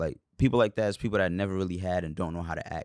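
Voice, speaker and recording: This man has a New York accent and a very deep, low pitch with ordinary pitch variation. The recording is very clean, dry and close, with a silent background and no echo. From New York, Brooklyn. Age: 20s. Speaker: rapper. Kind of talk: casual chat.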